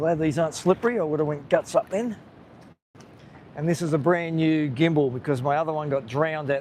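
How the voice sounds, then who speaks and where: The speaker has an Australian accent. The pace is fairly quick, with ordinary pitch variation. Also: man, fairly high pitch for a man. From Australia, Gold Coast area. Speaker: live-streaming vlogger. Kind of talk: live-stream vlog, casual commentary. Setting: outdoors on a beach. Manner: casual, hesitant with fillers.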